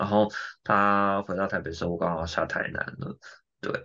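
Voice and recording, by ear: A man talks at a fairly quick pace in a bright, sharp tone.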